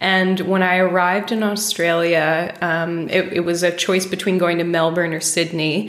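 A woman with an American accent and a fairly low pitch talks at a moderate pace with fairly even intonation and hardly any pauses, over noticeable background noise. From United States. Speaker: painter. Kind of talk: casual interview conversation.

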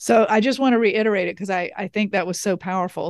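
A woman speaks in a Southern US accent with ordinary pitch variation. The recording is very clean, with a silent background. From US South. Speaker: podcast host. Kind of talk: interview, conversational.

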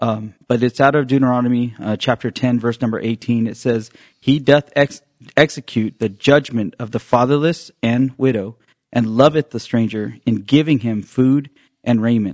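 This is a plain, everyday voice. It moves at a moderate pace with fairly even intonation. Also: man, medium pitch for a man. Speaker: church member co-host. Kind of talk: casual religious podcast discussion. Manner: conversational, uses fillers.

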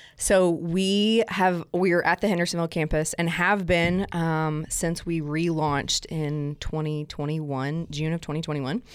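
A woman's fairly low voice with a slight Southern US accent, fairly even intonation, a fairly slow pace and hardly any pauses, on a very clean recording over a silent background. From South Alabama. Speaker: guest experience director at a church. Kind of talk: casual interview chat.

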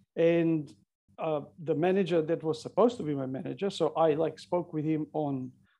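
Against a quiet background, a man with a Macedonian accent speaks at a moderate pace in a dark, mellow tone, his pitch fairly high and his intonation fairly even. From North Macedonia. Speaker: CCTV engineer and author. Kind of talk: interview.

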